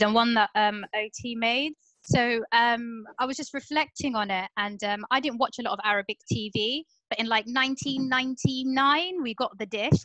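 A woman with a southern English accent speaks at a high pitch in a bright, sharp tone. The sound is dry with no echo, and the background is quiet. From southern England, Portsmouth; southern England. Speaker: comedian, panelist. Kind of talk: online panel discussion. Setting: video call. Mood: reflective, conversational. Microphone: video call.

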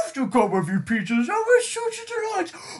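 A man performs in a put-on character voice. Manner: irritable, snobbish.

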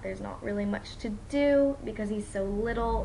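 A woman's voice at a moderate pace over noticeable background noise. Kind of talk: casual vlog chat. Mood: relaxed, fond. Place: home room. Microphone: webcam.

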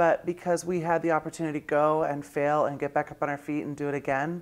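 Talking at a fairly quick pace, a woman uses a very deep, low pitch and fairly even intonation. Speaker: actress and singer. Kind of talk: casual interview. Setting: interview with lapel mics. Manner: halting; casual and profane. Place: home room. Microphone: lapel.

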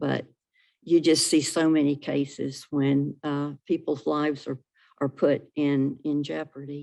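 A woman speaks at a fairly slow pace with a North Carolina accent. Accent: Southern US (North Carolina). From North Carolina (Salisbury, Rowan County). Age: 70s. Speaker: public commenter at county meeting. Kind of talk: public comment at a government meeting. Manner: hesitant, with many fillers.

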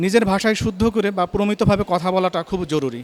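A man talks with a high pitch. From Bangladesh, Chuadanga. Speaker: course participant. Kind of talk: testimonial.

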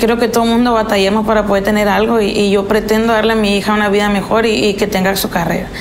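The voice is monotone and flat, with light background noise. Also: woman. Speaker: interviewee. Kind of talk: interview answer. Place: kitchen.

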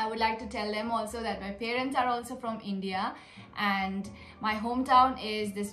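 A woman speaks at a moderate pace in a monotone, flat intonation. Audible room echo and light background noise are present. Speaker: vlogger. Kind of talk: casual Q&A vlog chat. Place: home room. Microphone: phone near.

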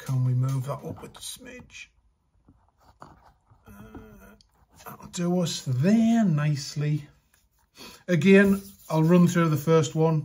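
A man at a very slow pace, with ordinary pitch variation and long, frequent pauses. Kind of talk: tutorial. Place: workshop.

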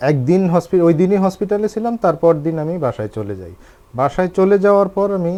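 This man has a high pitch and a dark, mellow tone. His loudness swings widely, though his pitch varies an ordinary amount. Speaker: patient, marketing employee. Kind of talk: patient testimony. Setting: separate studio, remote link.

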